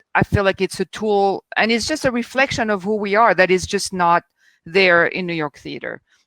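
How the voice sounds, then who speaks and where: At a moderate pace, a woman with a French accent speaks at a medium pitch with lively intonation, in a dry, close, very clean recording with no echo and a silent background. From France. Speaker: theatre critic. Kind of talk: panel discussion.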